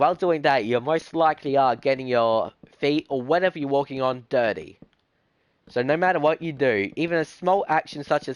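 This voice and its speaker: Fairly high in pitch with ordinary variation, a man talks fairly quickly with an Australian accent in a dry, close sound with no echo. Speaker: gaming streamer. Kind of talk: live stream chat while gaming. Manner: fast; halting, with restarts.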